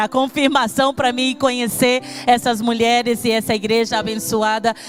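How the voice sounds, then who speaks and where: A woman with a high voice speaks at a moderate pace and fairly even intonation. Music plays in the background. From Brazil, Espírito Santo. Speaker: pastor. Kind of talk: sermon.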